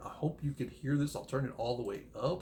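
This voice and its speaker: This soft-spoken man has a medium pitch and a dark, mellow tone. Vocal fry runs through his voice. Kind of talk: casual monologue on Bible prophecy. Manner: halting, many fillers.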